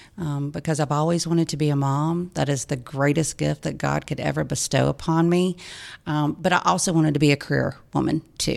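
On a very clean recording with a silent background, a woman with a Southern US accent speaks fairly quickly in a very deep, low voice with monotone, flat intonation. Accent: Southern US (Georgia). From US South, Georgia (Lawrenceville, Gwinnett County). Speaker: nonprofit executive director. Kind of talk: radio interview. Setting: studio.

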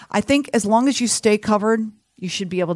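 A woman with a plain, everyday voice, medium pitch, lively intonation and an American accent, at a fairly quick pace, in a dry, close sound with no echo on a very clean recording with a silent background. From Texas, Houston. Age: 50s. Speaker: health insurance advisor. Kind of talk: radio interview. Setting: studio.

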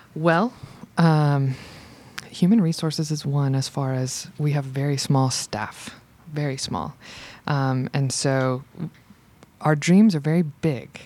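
With an American accent, a woman speaks very slowly in a very deep, low pitch, with ordinary pitch variation, long, frequent pauses and noticeable background noise. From US South, Georgia (Macon). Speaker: arts center coordinator. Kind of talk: radio interview. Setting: radio studio.

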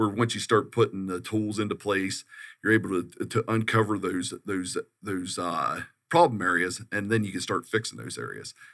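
A man with a plain, everyday voice, fairly low pitch, fairly even intonation and a moderate pace. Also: very clean recording, silent background. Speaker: consultant. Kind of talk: radio interview. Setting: studio.

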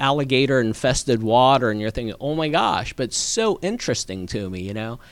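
This is a normal speaking voice from a man at medium pitch. He moves at a moderate pace with ordinary pitch variation. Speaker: political candidate. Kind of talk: interview. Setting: studio.

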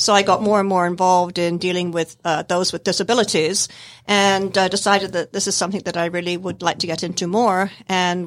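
A very fast-talking woman with an American accent, on a very clean recording with a silent background. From Scotland. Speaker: service dog trainer. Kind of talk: radio interview. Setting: studio.

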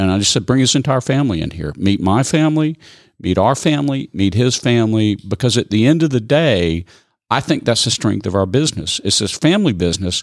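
This is a man with an ordinary speaking voice at medium pitch. His intonation is lively, and the recording is very clean, with a silent background. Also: fairly quick pace. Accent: American. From US South. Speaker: coffee company founder. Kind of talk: interview. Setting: studio.

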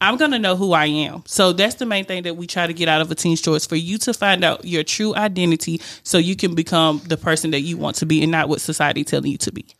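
A woman with a Southern US accent, fairly low in pitch, very fast, with ordinary pitch variation and a very clean recording with a silent background. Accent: Southern American. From Rome, Georgia, US South. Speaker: youth mentoring nonprofit founder. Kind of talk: radio interview. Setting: studio.

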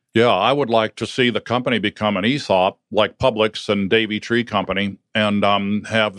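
An ordinary speaking voice with an American accent at a moderate pace, fairly even intonation, and a dry, close sound with no echo over a quiet background. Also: man. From northern Ohio, US. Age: 60s. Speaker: business owner, lawn care company founder. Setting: radio studio.

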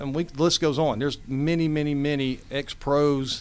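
Moderate pace and fairly even intonation from a man with a plain, everyday voice. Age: 50s. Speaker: amateur baseball league president. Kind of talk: casual interview.

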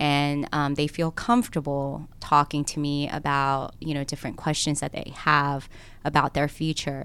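A woman speaks with a Korean accent at a moderate pace, her pitch very deep and low. Her intonation is fairly even, and the recording is very clean with a silent background. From South Korea, then Cobb County, Georgia. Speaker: lawyer and political candidate. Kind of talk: radio interview. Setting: studio.

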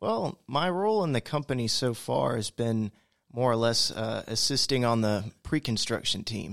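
On a very clean recording with a silent background, a man of medium pitch talks in an unremarkable speaking voice, the sound dry and close with no echo. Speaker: junior estimator in construction. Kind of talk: interview. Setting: radio studio.

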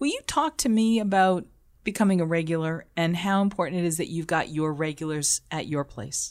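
Here is a woman with an ordinary speaking voice, fairly low in pitch and moving at a fairly quick pace. Her pitch varies in an ordinary way, and the recording is very clean with a silent background. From Boston. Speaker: food radio broadcaster and hospitality consultant. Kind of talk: casual interview.

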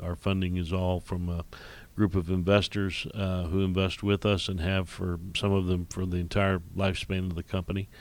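A man with a Midwestern American accent and a very deep, low pitch, in a very clean recording with a silent background. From Indiana, US Midwest. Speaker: commercial real estate executive and regional planning chairman. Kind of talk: radio interview. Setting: radio studio. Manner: halting, many fillers and repeats.

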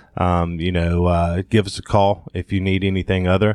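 A man speaks with an American accent. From southern Georgia, US (Thomasville). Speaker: health tech company founder. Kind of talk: interview. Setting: studio.

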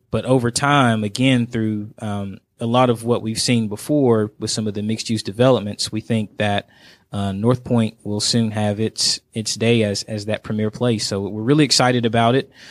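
A man's medium-pitched, monotone voice at a moderate pace, with flat intonation, a dry, close sound with no echo, and a very clean recording with a silent background. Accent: American. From Georgia, US (Dalton). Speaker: city economic development manager. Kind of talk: radio interview. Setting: studio.

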